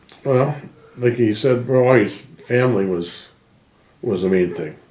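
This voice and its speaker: Noticeable background noise and audible room echo surround the recording. A man speaks at a fairly slow pace. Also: medium pitch for a man, ordinary pitch variation. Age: 70s. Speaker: interviewee, emigrant family member. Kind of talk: interview.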